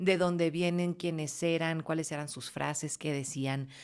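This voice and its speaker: A woman's very deep, low voice, warm and cheerful in tone, monotone and flat, at a fairly slow pace in a very clean recording with a silent background. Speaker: voice-over announcer (locutora). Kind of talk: casual interview answers, storytelling. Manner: warm, cheerful, expressive.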